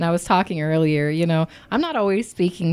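Over a very clean recording with a silent background, a woman speaks in a fairly low pitch with a dark, mellow tone and an upbeat tone. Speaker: podcast host. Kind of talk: casual interview.

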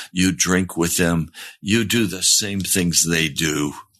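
Fairly slow delivery from a man with a very deep, low pitch. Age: 70s. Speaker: pastor. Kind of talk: sermon. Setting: live-streamed broadcast with chat.

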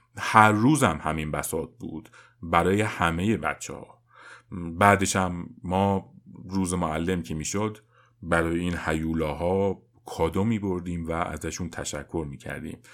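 Speaking at a fairly slow pace, a man with a very deep, low pitch keeps fairly even intonation while his loudness swings widely. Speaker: parenting podcast host. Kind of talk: scripted narration.

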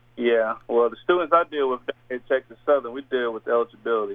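A plain, everyday voice, a man at medium pitch with fairly even intonation and a fairly quick pace. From Indiana. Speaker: assistant basketball coach. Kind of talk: radio interview.

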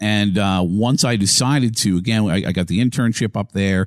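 A man with an American accent speaks in an unremarkable speaking voice at a fairly low pitch with ordinary pitch variation, recorded very cleanly against a silent background with a dry, close sound and no echo. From Massachusetts. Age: 40s. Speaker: sports radio host. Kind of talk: casual interview.

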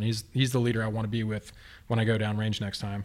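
On a very clean recording with a silent background, a man in an unremarkable speaking voice talks at a fairly quick pace and medium pitch. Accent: American. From Texas. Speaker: brewery owner and army veteran. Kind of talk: casual chat.

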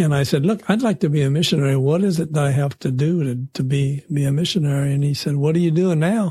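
On a very clean recording with a silent background, a somewhat breathy, dark, mellow voice moves at a fairly quick pace. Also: man. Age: 70s. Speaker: church volunteer and lay missionary. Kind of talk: interview. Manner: halting, with frequent repetitions.

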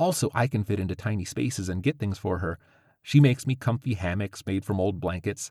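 The voice is a natural reading voice. It reads the lines through.

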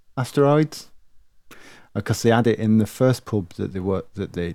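In a dark, mellow tone, a man speaks at a moderate pace with ordinary pitch variation on a very clean recording with a silent background. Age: 40s. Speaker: retro arcade gaming enthusiast, stand-in co-host. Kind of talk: casual chat.

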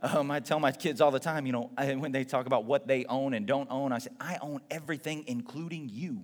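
A normal speaking voice from a man, fairly high in pitch, at a fairly quick pace. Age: 30s. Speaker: pastor. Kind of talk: sermon.

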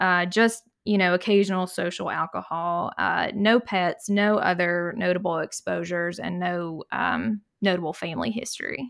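A woman with a plain, everyday voice speaks at a medium pitch and a moderate pace. Her intonation is fairly even, and the recording is very clean, with a silent background. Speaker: pulmonary and critical care fellow. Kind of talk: casual medical podcast discussion.

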